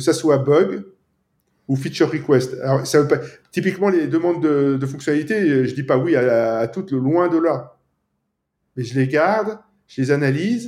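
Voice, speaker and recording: At a fairly slow pace, a man speaks with lively intonation and long, frequent pauses. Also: fairly high pitch for a man. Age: 50s. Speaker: app developer. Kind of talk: casual interview.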